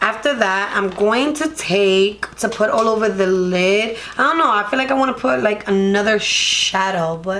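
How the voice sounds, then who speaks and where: Background noise is noticeable as a woman speaks. Her pitch is medium, her intonation lively and her pace moderate. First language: Spanish. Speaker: beauty vlogger. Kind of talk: makeup tutorial. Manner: casual, chatty.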